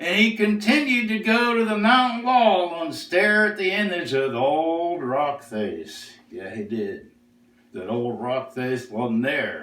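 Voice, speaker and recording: Putting on a character voice, a man speaks fairly slowly at a high pitch with very wide pitch swings. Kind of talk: storytelling.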